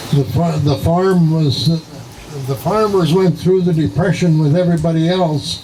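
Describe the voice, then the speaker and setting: Speaking with an American accent, a man has a fairly high pitch and ordinary pitch variation. Noticeable background noise runs underneath. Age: 80s+. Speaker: elderly relative reminiscing. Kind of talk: casual chat. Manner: halting.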